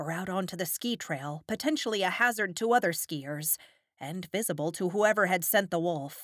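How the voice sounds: The speaker reads in a natural reading voice, with lively intonation.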